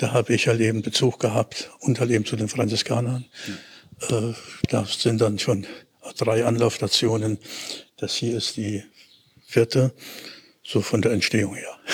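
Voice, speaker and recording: Long, frequent pauses break up a man's monotone, flat delivery. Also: medium pitch for a man, moderate pace. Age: 70s. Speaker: retired teacher. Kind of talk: conversational interview on a walk. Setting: outdoors, walking through city. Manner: halting, many fillers.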